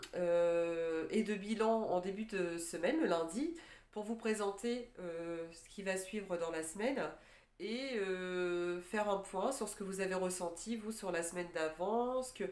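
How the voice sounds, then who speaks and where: At a very slow pace, the speaker uses ordinary pitch variation. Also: woman, medium pitch for a woman. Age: 40s. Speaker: life coach for separated mothers. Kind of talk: casual talk to camera. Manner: hesitant, many filler words.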